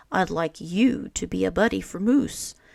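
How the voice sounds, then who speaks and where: A raspy put-on character voice at a middle pitch speaks in a gentle tone at a moderate pace. The recording is very clean, with a silent background. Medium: read story. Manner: gentle, patient.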